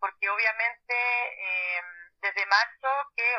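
This is a woman's voice, fairly high in pitch. Her intonation stays fairly even. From Chile, Valparaíso. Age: 30s. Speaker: social worker. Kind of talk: interview. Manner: halting.

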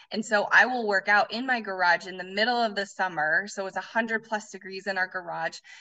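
Here is a woman with an ordinary speaking voice and an American accent, pitched at a medium level. She goes at a fairly quick pace with hardly any pauses and fairly even intonation. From Colorado. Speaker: former gym owner. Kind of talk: interview.

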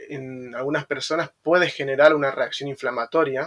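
A man's fairly high-pitched voice in a monotone, flat intonation at a fairly slow pace. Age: 30s. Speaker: personal trainer. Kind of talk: interview. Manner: halting.

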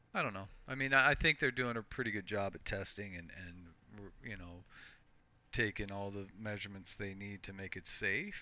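A man has an ordinary speaking voice, fairly low in pitch, at a moderate pace. His loudness swings widely. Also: ordinary pitch variation. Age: 40s. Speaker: podcast co-host. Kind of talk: casual chat.

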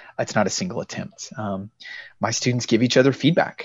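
A man speaks at a fairly quick pace. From Texas (Brownwood). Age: 30s. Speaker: cartoonist and English teacher. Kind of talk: interview. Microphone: low bandwidth connection, camera off.

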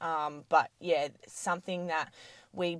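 A woman speaks at a fairly low pitch with an Australian accent. Her intonation is flat and monotone, and the recording is very clean with a silent background. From Australia, Adelaide Hills (South Australia). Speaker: gym owner and fitness trainer. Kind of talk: casual interview chat.

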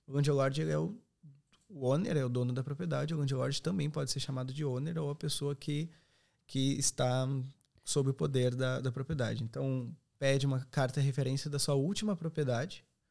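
A fairly high-pitched man with a dark, mellow tone, ordinary pitch variation and a moderate pace, in a very clean recording with a silent background. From southern Brazil, Serra Gaúcha (Rio Grande do Sul). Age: 20s. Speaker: accommodation company representative. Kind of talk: podcast interview.

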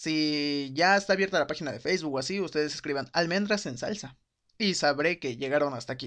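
A man speaks at a fairly quick pace in a fairly high pitch. His pitch varies in an ordinary way, and the background is quiet. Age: 20s. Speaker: solo podcast host. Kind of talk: casual monologue.

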